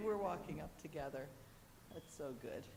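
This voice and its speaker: The speaker is loud, with very wide pitch swings. Audible room echo and noticeable background noise fill the recording. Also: woman. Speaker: church member. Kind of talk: announcement. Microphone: no microphone, speaking from afar.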